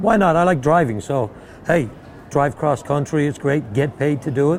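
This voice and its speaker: Ordinary pitch variation runs through this speech in an Irish accent. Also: man. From Ireland. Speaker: horse trainer. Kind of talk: interview. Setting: horse show.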